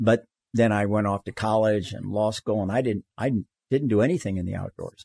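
An unremarkable speaking voice from a man with an American accent, fairly low in pitch with ordinary pitch variation, at a fairly quick pace, in a dry, close sound with no echo. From US South, Florida. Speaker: human rights lawyer and climber. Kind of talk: casual interview.

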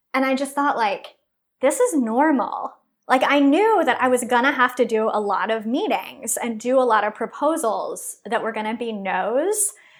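This woman has an American accent and a high pitch. Her intonation is lively. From Texas. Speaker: entrepreneur. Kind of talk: interview.

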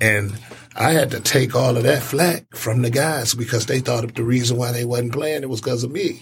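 A somewhat breathy man at a medium pitch, with fairly even intonation and a moderate pace. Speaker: sports talk co-host. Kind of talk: casual sports talk. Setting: studio.

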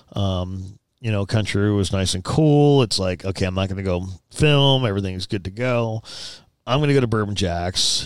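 A man with a normal speaking voice, fairly low pitch and ordinary pitch variation at a moderate pace, on a very clean recording with a silent background. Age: 40s. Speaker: production company owner. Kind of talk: casual chat.

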